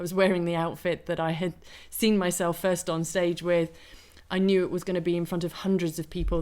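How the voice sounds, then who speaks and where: Speaking at a very fast pace, a woman with a fairly low pitch keeps a monotone, flat intonation. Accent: British. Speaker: wellness coach. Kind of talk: interview.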